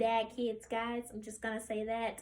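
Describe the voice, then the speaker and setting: A woman with an American accent speaks in a raised, projected voice at a moderate pace. Her tone is bright and sharp. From US South, Memphis, Tennessee. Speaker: college student. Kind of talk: practice speech.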